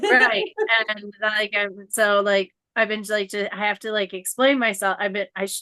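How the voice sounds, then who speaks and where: Her voice has a bright, sharp tone and medium pitch as this woman speaks at a moderate pace with fairly even intonation and a dry, close sound with no echo. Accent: Midwestern American. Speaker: coaching client. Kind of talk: casual interview chat.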